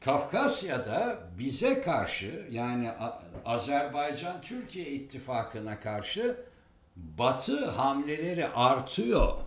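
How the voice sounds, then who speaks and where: A man speaks at a very slow pace. Room echo is audible. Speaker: political commentator. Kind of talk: commentary. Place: home room. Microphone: webcam.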